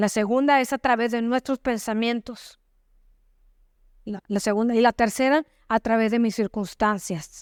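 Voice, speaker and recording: A woman with a fairly high pitch talks at a fairly slow pace with fairly even intonation and long, frequent pauses. The sound is dry and close with no echo. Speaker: pastor, church preacher. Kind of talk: sermon preached to a congregation.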